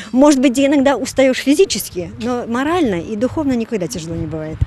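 Fairly high-pitched woman's voice with very wide pitch swings, a fairly quick pace, light background noise and a dry sound with no echo. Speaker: pilgrim. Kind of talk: interview. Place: street. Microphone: handheld.

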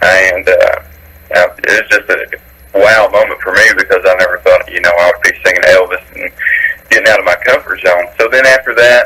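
With a low pitch and fairly even intonation, a man speaks in a bright, sharp tone with a slightly husky edge. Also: moderate pace.

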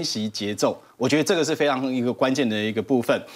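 A man speaks with a Taiwanese accent at a moderate pace. His intonation is lively. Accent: Taiwanese Mandarin. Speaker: stock market analyst. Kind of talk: TV finance panel discussion. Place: studio. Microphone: lapel.

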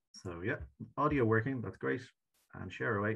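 Against a quiet background, a man with an Irish accent speaks at a fairly quick pace in a fairly low pitch with vocal fry. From Ireland. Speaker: session chair. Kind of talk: online conference moderation; meeting moderation. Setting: video call. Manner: fast. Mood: warm, appreciative. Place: home room. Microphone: webcam.

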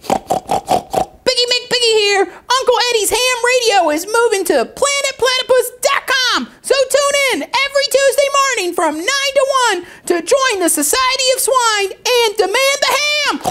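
Extremely high-pitched and in a put-on character voice, the speech moves at a fairly slow pace with hardly any pauses. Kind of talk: radio show promo. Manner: upbeat, brash, promotional.

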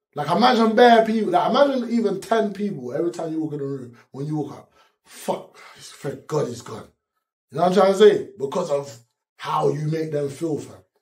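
A man with a South London accent talks at a fairly quick pace, his high pitch swinging very widely. His loudness varies a great deal against a quiet background. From Peckham, south-east London. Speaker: rapper; interviewee. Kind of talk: interview answer. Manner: candid, casual street slang. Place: studio.

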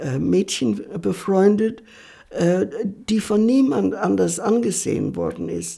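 A woman speaks very slowly against a quiet background. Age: 80s+. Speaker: journalist and writer. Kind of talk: interview answer. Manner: hesitant, many filler sounds. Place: home room.

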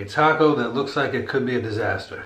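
A man talks over light background noise, with audible room echo around his voice. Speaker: food reviewer. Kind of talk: casual food review chat. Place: home room.

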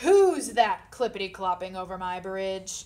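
Bellowing in a put-on character voice, a woman speaks at a medium pitch and moderate pace. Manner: roaring.

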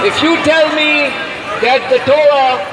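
A man speaks in a raised, projected voice at an extremely high pitch, with an American accent, as crowd noise carries in the background. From United States. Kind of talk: rally speech, protest address to a crowd. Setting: outdoor protest rally. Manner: impassioned, forceful, declamatory with repeated phrases; rhetorical, rising cadence, crowd-rousing. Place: street. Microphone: pa.

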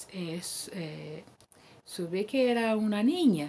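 A woman's dark, mellow voice at medium pitch and a very slow pace. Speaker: church member giving testimony; guest. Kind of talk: testimony. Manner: halting. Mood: calm, emotional. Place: home room. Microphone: webcam.

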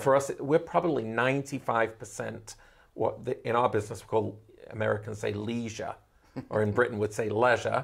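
A man's medium-pitched voice with vocal fry and ordinary pitch variation, fairly quick, over a quiet background. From Manchester, England. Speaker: travel agency owner. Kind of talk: interview answer. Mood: friendly, animated. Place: office. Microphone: lapel.

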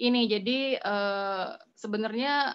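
This woman has a normal speaking voice. Her pitch is fairly high, and her intonation stays fairly even. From Bandung, West Java, Indonesia; West Java, Indonesia. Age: 40s. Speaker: food photographer. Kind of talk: online class presentation. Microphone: phone; video call.

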